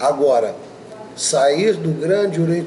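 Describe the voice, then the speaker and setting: The voice moves at a fairly slow pace with ordinary pitch variation, against noticeable background noise. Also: man. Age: 60s. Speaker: masonic grand master. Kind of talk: interview. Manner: emphatic.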